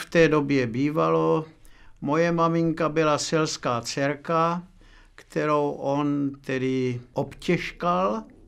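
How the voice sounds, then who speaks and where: The recording is very clean, with a silent background. A man talks at a very slow pace in a fairly high pitch with ordinary pitch variation. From Moravia, Czech Republic (Milotice near Kyjov). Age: 80s+. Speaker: oral history witness. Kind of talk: oral history interview. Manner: halting, with many fillers.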